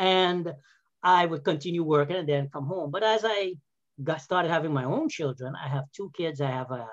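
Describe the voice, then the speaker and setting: A normal speaking voice at a fairly quick pace, with ordinary pitch variation and a quiet background. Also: man. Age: 50s. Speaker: health and wellness coach, former physical therapist. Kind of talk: casual interview. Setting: video call.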